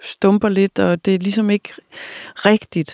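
Delivery proceeds at a moderate pace. Intonation stays monotone and flat. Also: woman, dry, close sound with no echo. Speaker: podcast host interviewing authors. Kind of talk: interview.

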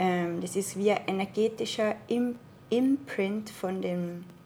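A woman speaks with an Austrian accent at a medium pitch. Her tone is dark and mellow. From Austria, Tyrol (Innsbruck). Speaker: spiritual healing practitioner. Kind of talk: casual interview. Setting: in person, living room.

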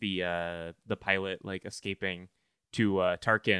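On a very clean recording with a silent background, a man speaks very slowly in a fairly low voice, the sound dry and close with no echo. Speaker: podcast host. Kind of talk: casual comedic chat.

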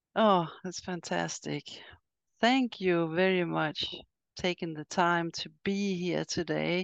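With a Swedish accent, a woman speaks very slowly at a fairly low pitch with fairly even intonation, in a dry, close sound with no echo. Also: quiet background. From Sweden. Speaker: podcast host and riding coach. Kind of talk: interview. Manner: halting.

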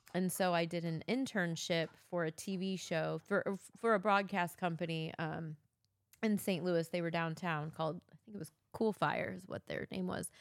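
A woman's plain, everyday voice, fairly low in pitch, at a moderate pace. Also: fairly even intonation. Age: 40s. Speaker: host's wife. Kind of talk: casual chat. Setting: home basement.

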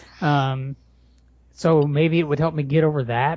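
Using an unremarkable speaking voice, a man speaks at a moderate pace in a fairly high pitch with fairly even intonation. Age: 40s. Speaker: blogger and writer. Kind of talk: casual chat. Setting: home garage.

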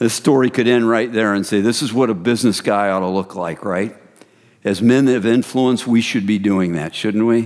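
A man's voice, fairly low in pitch, an ordinary speaking voice at a moderate pace with ordinary pitch variation. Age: 50s. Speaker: men's ministry founder and speaker. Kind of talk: sermon.

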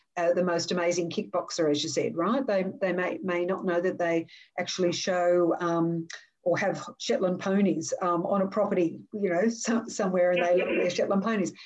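A woman with an Australian accent at a moderate pace, her intonation fairly even and her loudness very even. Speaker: podcast host and education consultant. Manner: high-energy, positive.

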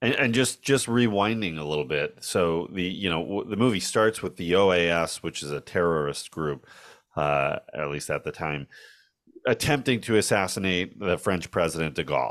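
On a very clean recording with a silent background, a man with a very deep, low pitch speaks at a moderate pace with lively intonation. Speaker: film podcast host. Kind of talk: casual chat.

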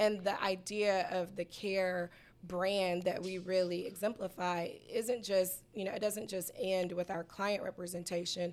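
In an American accent, the speaker talks at a fairly slow pace with monotone, flat intonation. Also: woman. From US South, Atlanta, Georgia. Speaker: personal injury attorney. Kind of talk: interview. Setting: radio studio.

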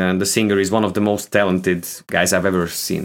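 This man speaks English. He has a Hungarian accent. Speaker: guitarist. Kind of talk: casual chat. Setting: video call. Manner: halting.

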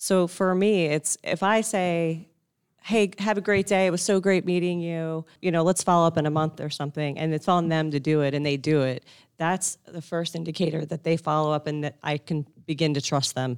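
With an American accent, a woman speaks at a moderate pace in a fairly low pitch, using ordinary pitch variation and an unremarkable speaking voice. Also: very clean recording, silent background. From US Northeast. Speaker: business development director. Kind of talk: live panel discussion. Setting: live event at a club.

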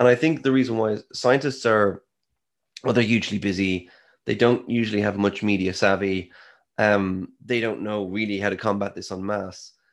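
With an Irish accent, a man talks at a moderate pace in a fairly low pitch, his intonation fairly even against a quiet background. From Ireland. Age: 30s. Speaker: scientist and author. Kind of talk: interview.

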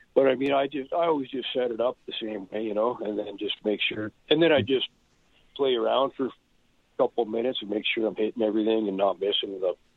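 A man with a western Canadian accent at a very fast pace, with ordinary pitch variation. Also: medium pitch for a man. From Canada, Edmonton area, Alberta. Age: 40s. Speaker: punk drummer and author. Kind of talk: casual chat.

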